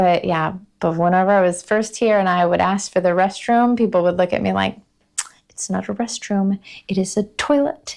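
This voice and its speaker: Here is a woman with an American accent and an ordinary speaking voice. She talks at a moderate pace and medium pitch with ordinary pitch variation. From United States. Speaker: vlogger. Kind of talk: casual talk to camera.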